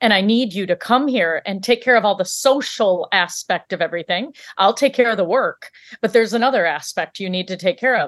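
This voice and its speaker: Against a quiet background, a woman with an unremarkable speaking voice talks fairly quickly at medium pitch with ordinary pitch variation. The sound is dry and close, with no echo. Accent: American. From US Midwest, Michigan. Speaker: physician, coach and author. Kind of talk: interview.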